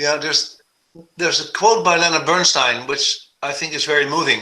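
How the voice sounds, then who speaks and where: A man is talking. He speaks with a Dutch accent. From Netherlands. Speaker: composer and conductor. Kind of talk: video call talk. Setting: video call.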